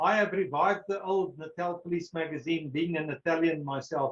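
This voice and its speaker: A man speaks with a South African accent and a high pitch. His pitch varies in an ordinary way. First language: Afrikaans. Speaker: retired police brigadier and historian. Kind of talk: question and answer; lecture.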